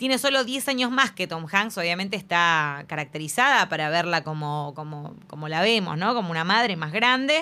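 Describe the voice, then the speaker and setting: A woman speaks at a medium pitch and a moderate pace, her tone bright and sharp. Her intonation is lively, and the recording is very clean with a silent background. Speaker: film podcast host. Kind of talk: casual chat.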